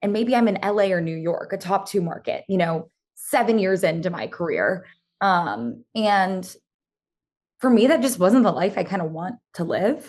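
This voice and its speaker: A woman's unremarkable speaking voice at a medium pitch, with lively intonation and a moderate pace. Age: 20s. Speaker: former TV news reporter turned social media creator. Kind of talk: casual interview. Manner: casual, filler-heavy (um, like).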